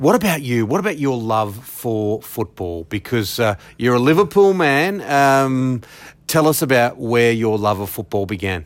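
Heard in a very clean recording with a silent background, a man with an Australian accent speaks at a moderate pace with very wide pitch swings. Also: medium pitch for a man. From Western Sydney, Australia. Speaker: podcast host. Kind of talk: casual interview; scripted intro.

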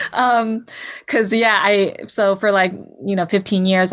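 A woman with a West Coast accent at a moderate pace, on a very clean recording with a silent background. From California, Bay Area. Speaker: cartoonist, musician and poet. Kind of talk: interview.

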